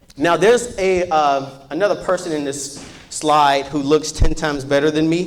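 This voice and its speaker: With an American accent, a man speaks at a fairly high pitch. Audible room echo and noticeable background noise surround him. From US Midwest, Chicago. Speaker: business owner, workshop presenter. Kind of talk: workshop presentation. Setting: stage with audience. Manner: fast; animated.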